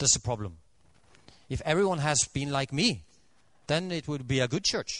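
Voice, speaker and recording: Speaking with a Norwegian accent, a man uses lively intonation and a fairly high pitch, with long, frequent pauses. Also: moderate pace. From Norway. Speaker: Adventist preacher. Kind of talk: sermon. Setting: church. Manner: halting, with many fillers.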